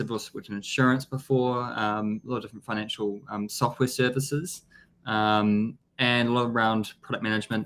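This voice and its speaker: Here is a man with a strong New Zealand accent and medium pitch. He talks at a fairly quick pace with fairly even intonation. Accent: thick New Zealand. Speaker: business development executive. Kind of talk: interview.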